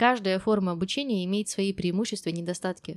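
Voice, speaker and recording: Recorded very cleanly against a silent background, a woman speaks at a medium pitch with a normal speaking voice and ordinary pitch variation. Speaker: English teacher podcast host. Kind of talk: monologue.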